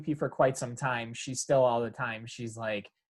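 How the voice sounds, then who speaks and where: A man with a strong Upper Michigan accent at a moderate pace, on a very clean recording with a silent background. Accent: thick Yooper. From Upper Peninsula of Michigan, Kingsford. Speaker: podcast host. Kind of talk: casual interview chat. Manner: casual, many fillers.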